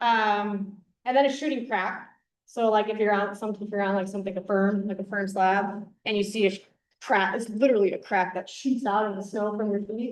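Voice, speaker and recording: A woman speaks at a medium pitch and a fairly quick pace, her intonation fairly even, with audible echo from the room. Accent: slight Wisconsin. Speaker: avalanche safety educator. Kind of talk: conference presentation. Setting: conference room with audience. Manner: casual, many fillers.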